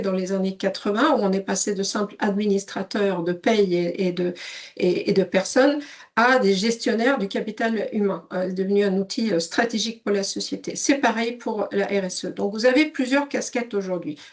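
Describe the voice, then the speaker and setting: A woman at medium pitch with a slight Swedish accent, ordinary pitch variation and a moderate pace. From Sweden. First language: Swedish (speaking French). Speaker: software company CEO. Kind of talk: webinar presentation. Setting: online webinar. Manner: hesitant, many fillers.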